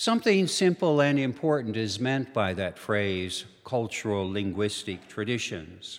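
With an American accent, a man speaks at a fairly slow pace with hardly any pauses. His medium-pitched, unremarkable speaking voice has lively intonation. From Minnesota and eastern North Dakota. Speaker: theologian and retired professor. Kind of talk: lecture. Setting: church hall with live audience.

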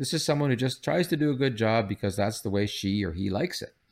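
A man with a Canadian accent and an unremarkable speaking voice talks at a fairly quick pace with lively intonation. The recording is very clean, with a silent background. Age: 60s. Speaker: psychology professor. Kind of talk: interview.

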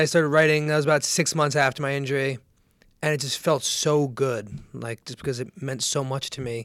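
In an American accent, this plain, everyday voice moves at a fairly quick pace. Its intonation stays fairly even. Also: man, fairly high pitch for a man. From New Jersey. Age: 20s. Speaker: author and brain injury survivor. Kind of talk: casual interview, personal story.

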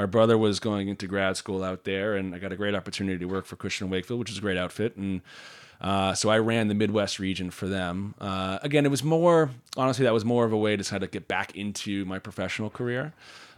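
Speaking with an American accent, this man has an ordinary speaking voice. His pitch is fairly low, and its variation is ordinary. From US East Coast. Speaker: startup co-founder. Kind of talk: interview. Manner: frequent fillers and restarts.

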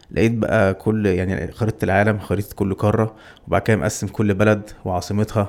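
In a very clean recording with a silent background, a man talks at a moderate pace. He has an ordinary speaking voice, fairly low in pitch, with fairly even intonation. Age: 30s. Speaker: adventurer who cycled and ran across Egypt. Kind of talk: casual chat. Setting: studio.

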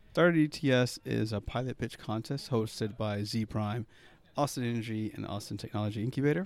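A man speaks in a normal speaking voice. His pitch is fairly low. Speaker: startup competition organizer, CEO.

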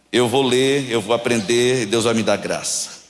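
Audible room echo surrounds this man's voice. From Brazil, Paraíba (João Pessoa). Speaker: guest preacher. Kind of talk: sermon. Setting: church service. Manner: animated.

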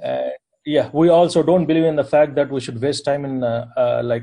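A somewhat breathy man with an Indian accent and a dark, mellow tone at a moderate pace. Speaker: software architect and company founder. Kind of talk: group discussion.

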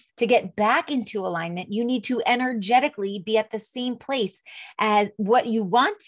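A woman talks in a normal speaking voice, fairly high in pitch with ordinary variation. The background is quiet. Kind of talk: pep talk. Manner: warm, encouraging, upbeat; coaxing, direct address.

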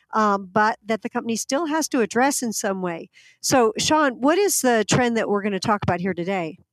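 In a very clean recording with a silent background and a dry, close sound with no echo, a woman with a normal speaking voice and an American accent talks at a moderate pace, fairly high in pitch, with lively intonation. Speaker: podcast host. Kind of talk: casual business podcast discussion.

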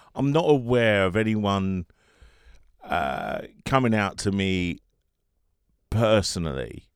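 This man talks at a very slow pace with long, frequent pauses. His pitch is fairly low, and his intonation is lively. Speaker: financial advisor. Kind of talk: interview answers.

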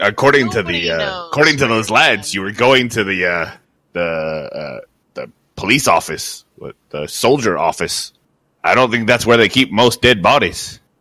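A man puts on a gruff character voice at medium pitch. He goes at a fairly slow pace with long, frequent pauses. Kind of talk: tabletop in-character roleplay. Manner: gruff, blunt, aggressive tone.

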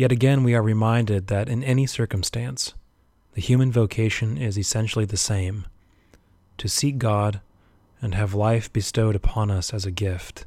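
A man's fairly low-pitched voice, dark and mellow in tone, with fairly even intonation at a moderate pace. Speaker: Anglican priest. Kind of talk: homily. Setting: church service during pandemic. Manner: earnest, exhortative, formal.

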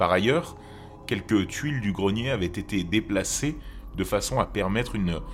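A man's voice with music in the background. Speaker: podcast host, horror storyteller. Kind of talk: true-crime narration, scripted storytelling read in a hushed late-night horror tone. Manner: slow, measured, grave.

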